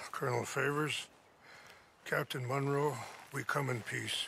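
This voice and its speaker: A man puts on a raspy character voice with a calm tone and medium pitch. His intonation is monotone and flat, at a moderate pace. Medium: video game. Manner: calm, measured.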